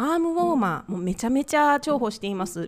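Very wide pitch swings from a woman talking fairly quickly. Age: 40s. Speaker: cooking teacher and podcast host. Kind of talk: casual solo talk.

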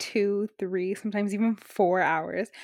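In an ordinary speaking voice, a woman talks at a fairly slow pace and a medium pitch, with a dry, close sound with no echo and a very clean recording over a silent background. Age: 20s. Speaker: podcast host, nursing student. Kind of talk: casual chat.

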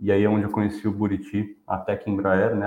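Fairly quick talking from a man, his pitch fairly low. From São Paulo, Brazil. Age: 40s. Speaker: design and innovation professional. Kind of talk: casual interview on a live stream.

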